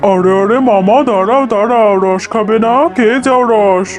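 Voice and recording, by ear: Over clear music in the background, a man does a cartoonish character voice pitched high. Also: moderate pace.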